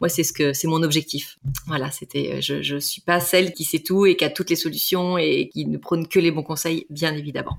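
Vocal fry runs through a woman's fairly low voice as she talks at a fairly quick pace with fairly even intonation. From Brittany, France. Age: 40s. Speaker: couples relationship coach. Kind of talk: interview conversation.

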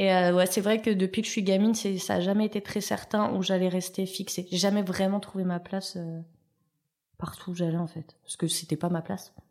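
The woman's delivery is fairly quick. She keeps a monotone, flat intonation throughout. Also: medium pitch for a woman. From Paris suburbs, France. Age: 30s. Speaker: TV pastry contestant and food business coach. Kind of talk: interview. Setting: studio.

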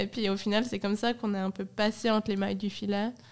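A normal speaking voice moves along at a fairly quick pace. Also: woman. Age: 20s. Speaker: ice cream company co-founder. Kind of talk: casual interview. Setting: studio in a cellar.

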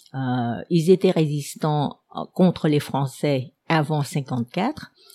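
With a very deep, low pitch, a dark, mellow tone and lively intonation, a woman talks at a very slow pace in a dry, close sound with no echo. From Vietnam, Saigon. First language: Vietnamese (speaking French). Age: 70s. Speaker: historian. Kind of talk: personal life story. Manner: hesitant with many fillers.

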